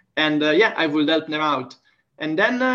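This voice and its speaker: A man is speaking. He has an Italian accent. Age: 20s. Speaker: language teacher. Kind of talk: casual interview. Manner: hesitant with repetitions.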